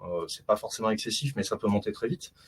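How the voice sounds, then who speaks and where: The speaker is a man with a medium pitch. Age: 40s. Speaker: consultant presenting his 3D printing hobby. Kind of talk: online meet-up presentation. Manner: hesitant, many fillers (euh, bah).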